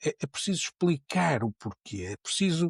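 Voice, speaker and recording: A man's fairly high voice with lively intonation, dry and close with no echo, on a very clean recording with a silent background. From Porto, northern Portugal. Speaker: neuroscience professor. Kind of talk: podcast interview. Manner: many repetitions and fillers; animated.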